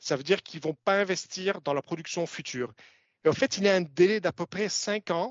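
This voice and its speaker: A man with a non-native accent, high pitch and ordinary pitch variation. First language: not French (speaking French). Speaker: commodities analyst. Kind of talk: webinar presentation. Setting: webinar. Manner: halting, many filler sounds.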